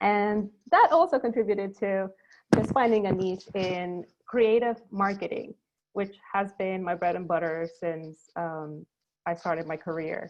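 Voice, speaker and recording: A woman speaks at a fairly slow pace with a Spanish accent. Her pitch sits in the middle range for a woman, with ordinary variation. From Ecuador, Guayaquil. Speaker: creative marketing producer. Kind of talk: panel discussion. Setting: video call. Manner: hesitant, many fillers.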